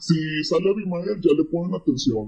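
Speaking at a fairly slow pace, a man with a fairly high pitch uses lively intonation and a dark, mellow tone. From Monterrey area, Mexico. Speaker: weather social media creator. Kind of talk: casual chat.

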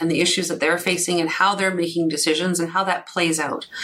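Someone with a Canadian accent talks in a monotone, flat intonation against noticeable background noise. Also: woman. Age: 50s. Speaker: financial planner and chartered accountant. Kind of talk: interview.

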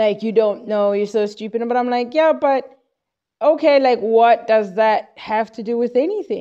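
The tone is dark and mellow. Pitch varies in an ordinary way at a moderate pace. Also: woman, fairly high pitch for a woman. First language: Xhosa. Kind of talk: informal Bible teaching monologue. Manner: halting, with repetitions.

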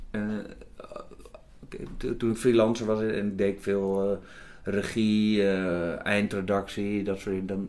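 Speaking at a very slow pace with long, frequent pauses, a man keeps a monotone, flat intonation at a fairly low pitch. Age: 50s. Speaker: TV executive producer. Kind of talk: interview. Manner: halting, many repetitions.

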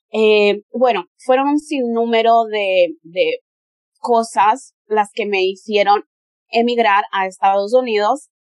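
A woman with a fairly high voice speaks very slowly with ordinary pitch variation, in a dry, close sound with no echo. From Spain. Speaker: model and adult content creator. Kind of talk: interview conversation.

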